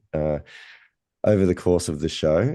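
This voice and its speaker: A man talks with an Australian accent. His tone is dark and mellow. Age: middle-aged. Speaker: golf podcast host. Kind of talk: podcast interview question.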